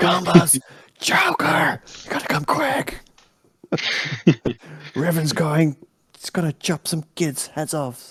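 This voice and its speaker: In a raspy, put-on character voice, the speaker goes at a fairly slow pace with long, frequent pauses. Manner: loud whisper, urgent, trying not to shout in a church.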